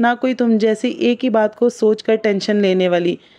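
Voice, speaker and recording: The woman's voice sits fairly high in pitch, with a dark, mellow tone. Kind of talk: reflective spoken monologue.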